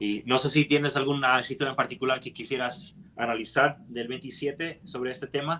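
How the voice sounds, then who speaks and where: A man talks at a fairly quick pace with hardly any pauses. His medium pitch has ordinary variation and a bright, sharp tone. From United States. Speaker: scripture study teacher. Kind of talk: scripture study discussion. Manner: halting, frequent self-corrections.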